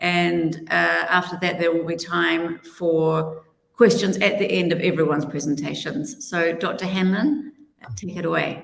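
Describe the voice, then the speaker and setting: A woman's fairly low, fry-laden voice in a strong New Zealand accent, at a fairly slow pace. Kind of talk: panel introduction.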